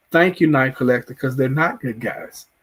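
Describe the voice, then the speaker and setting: With a Southern US accent, a man speaks in a fairly high voice with ordinary pitch variation. The recording is very clean, with a silent background. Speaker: TV show reviewer, YouTuber. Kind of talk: live stream show review with chat. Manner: halting, many repeats and fillers.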